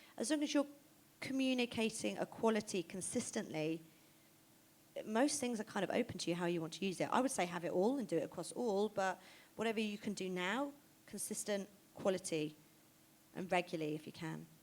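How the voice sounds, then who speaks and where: A woman at a medium pitch with a southern English accent, lively intonation and an animated tone, a fairly quick pace, and long, frequent pauses. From southern England, Oxford. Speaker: fashion stylist and creative director. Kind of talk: stage interview. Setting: stage with audience. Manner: fast.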